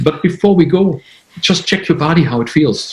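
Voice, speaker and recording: The man speaks at a moderate pace. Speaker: intuitive healer. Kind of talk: interview. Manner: halting.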